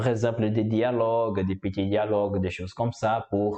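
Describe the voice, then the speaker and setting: A man with a Portuguese accent speaks with monotone, flat intonation. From Brazil. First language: Portuguese (speaking French). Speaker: language learner, YouTuber. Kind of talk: casual vlog monologue. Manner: halting, many hesitations.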